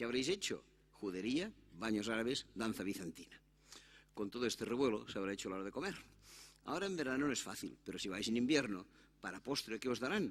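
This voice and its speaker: A man in a Catalan accent, medium-pitched and very fast, with lively intonation and long, frequent pauses. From Catalonia, Spain. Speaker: conference speaker on immigration. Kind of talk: conference talk. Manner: animated.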